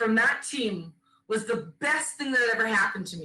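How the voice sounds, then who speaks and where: A woman speaks loudly with a bright, sharp tone and a fairly high pitch. Her intonation is lively. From Caribbean, then British Columbia, Canada. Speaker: former national team goalkeeper, keynote speaker. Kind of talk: keynote speech.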